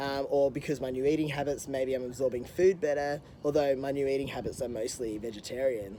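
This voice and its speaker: A man speaks with a normal speaking voice at a fairly quick pace. His pitch is fairly high and his intonation fairly even. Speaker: health coach vlogger. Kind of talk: video diary update. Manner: casual with many fillers.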